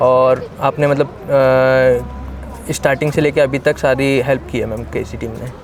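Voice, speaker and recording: Music plays in the background as a man speaks at a medium pitch with fairly even intonation. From Uttar Pradesh, India. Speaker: medical student. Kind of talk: interview. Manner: halting.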